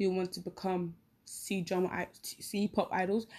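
Dark, mellow woman's voice at medium pitch over a quiet background. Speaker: podcaster. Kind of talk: casual chat. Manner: rambling, halting with fillers.

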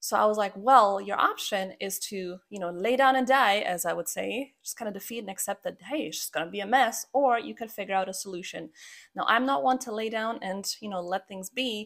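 With a Croatian accent, a woman talks at a fairly quick pace with hardly any pauses, medium pitch, ordinary pitch variation and big swings in loudness, in a very clean recording with a silent background. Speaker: podcast host and habit coach. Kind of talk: solo podcast monologue.

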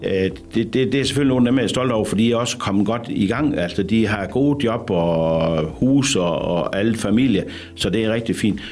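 Over music in the background, a man speaks at a moderate pace and a medium pitch, with ordinary pitch variation, very even loudness and audible room echo. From Denmark, rural Jutland. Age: 60s. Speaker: bathhouse manager. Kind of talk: radio interview. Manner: hesitant, many fillers.

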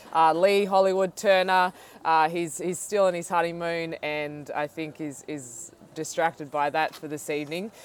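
Woman's voice, fairly low in pitch, at a moderate pace with fairly even intonation and big swings in loudness. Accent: Australian. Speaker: podcast host and professional cyclist. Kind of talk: interview.

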